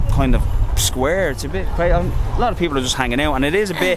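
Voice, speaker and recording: A man rattles along at a very fast pace, with audible room echo and noticeable background noise behind him. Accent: Irish. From Ireland. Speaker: travel vlogger. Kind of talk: casual chat.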